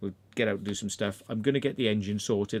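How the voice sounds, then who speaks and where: In a very clean recording with a silent background, a man with a fairly low pitch and an English accent speaks at a fairly quick pace. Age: 50s. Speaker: urban explorer and livestream host. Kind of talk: casual livestream chat.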